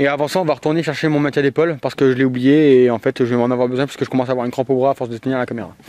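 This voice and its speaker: A man at a very fast pace with hardly any pauses, fairly even intonation and a dry, close sound with no echo. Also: medium pitch for a man. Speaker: paranormal investigator YouTuber. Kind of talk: on-location ghost hunt commentary. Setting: outdoors in a cemetery at night.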